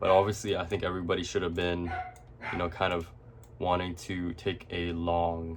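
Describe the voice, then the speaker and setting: A man's very deep, low voice with fairly even intonation, against noticeable background noise. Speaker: forex and indices trader. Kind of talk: screen-share trading tutorial. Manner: stutters, many fillers; casual, hesitant.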